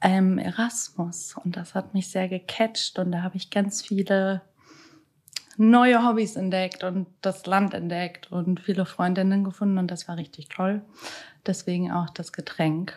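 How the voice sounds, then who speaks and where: There are long, frequent pauses as a woman talks at a medium pitch. Her intonation stays fairly even. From Germany, Hannover. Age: 20s. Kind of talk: casual interview.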